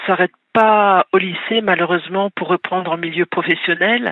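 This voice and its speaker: The woman's voice sits at medium pitch in a flat monotone. She speaks at a fairly slow pace. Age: 60s. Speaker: caller, bereaved mother and author. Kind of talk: radio call-in testimony. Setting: phone call to radio.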